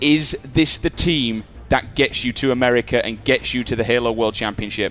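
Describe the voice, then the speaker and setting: Music plays behind a man speaking at a moderate pace. His pitch sits in the medium range and moves in an ordinary way. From northern England. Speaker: esports presenter. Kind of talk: interview.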